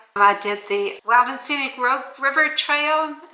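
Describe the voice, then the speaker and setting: Audible room echo surrounds a woman's voice. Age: 80s+. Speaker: off-grid homesteader and author. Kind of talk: casual interview. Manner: conversational, with some repeated words.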